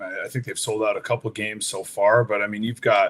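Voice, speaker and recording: A man talks at a fairly quick pace in an ordinary speaking voice. His medium pitch carries fairly even intonation. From Canada (Whitby, Ontario). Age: 30s. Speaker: retired lacrosse player. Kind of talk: casual interview.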